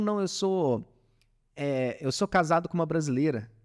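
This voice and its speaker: The recording is very clean, and the background silent. A man talks with very wide pitch swings. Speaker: startup founder in industrial maintenance. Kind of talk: podcast interview. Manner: casual, hesitant with fillers.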